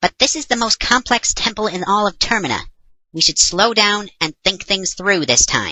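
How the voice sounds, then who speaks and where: A put-on character voice, female-sounding, at a medium pitch for a woman and a moderate pace. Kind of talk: comedy parody dub. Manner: sarcastic, exasperated.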